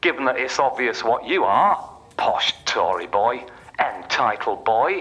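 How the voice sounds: A man puts on a character voice with big pitch swings at a fairly slow pace. His medium-pitched voice sounds bright and sharp with a slightly husky edge.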